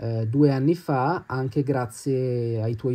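A man speaks at a medium pitch, somewhat breathy, in a dark, mellow tone. The background is quiet. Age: 20s. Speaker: watch enthusiast. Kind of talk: video presentation.

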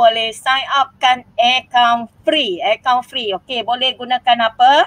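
A woman's very slow, fairly even delivery in a dry, close sound with no echo. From Malaysia, Manjung, Perak. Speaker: primary school teacher and YouTuber. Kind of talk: tutorial.

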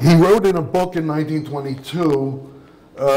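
A man's speech has ordinary pitch variation, with noticeable background noise in the mix. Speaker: media studies professor. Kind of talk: lecture.

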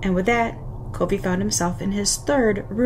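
A natural voice reads the text aloud. Its pitch varies in an ordinary way.

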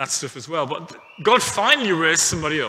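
The man's speech shows ordinary pitch variation. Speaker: pastor. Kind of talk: sermon. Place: church. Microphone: headset.

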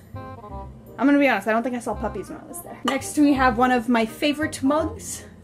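A woman talks at a fairly quick pace with hardly any pauses and big swings in loudness. Clear music plays in the background. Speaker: vlogger showing a mug collection. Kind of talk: casual talk to camera. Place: home room. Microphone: phone near.

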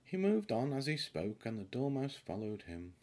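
A man talks at a moderate pace with big pitch swings. His tone is dark and mellow.

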